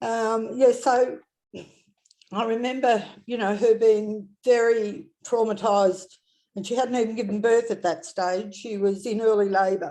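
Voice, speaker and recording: In an Australian accent, a woman talks at a fairly slow pace with a fairly high pitch, a dark, mellow tone and ordinary pitch variation. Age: 70s. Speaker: retired midwife. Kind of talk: interview testimony. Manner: halting.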